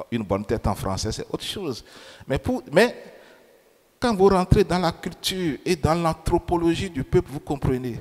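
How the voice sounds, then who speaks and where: With a non-native accent, a man talks in a high pitch full of very wide pitch swings. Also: moderate pace. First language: not French (speaking French). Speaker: preacher. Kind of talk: sermon.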